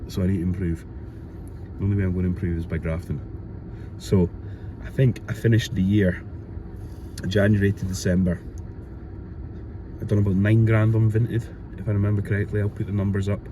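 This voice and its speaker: A man's fairly low, mumbling voice in a Glasgow accent, very fast yet broken by long, frequent pauses, with fairly even intonation. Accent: Scottish (Glasgow area). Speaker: reseller vlogger. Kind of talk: casual vlog.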